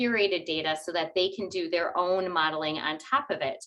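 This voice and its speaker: A woman in a normal speaking voice talks at a moderate pace and medium pitch, her intonation lively. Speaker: data architecture speaker. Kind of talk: webinar presentation.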